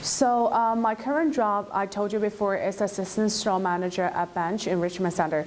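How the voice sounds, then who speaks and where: A woman with a Chinese accent speaks at a moderate pace, with hardly any pauses and very even loudness. Her pitch is medium with ordinary variation, and there is noticeable background noise. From China. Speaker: former international student. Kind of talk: personal testimony. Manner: halting, many fillers.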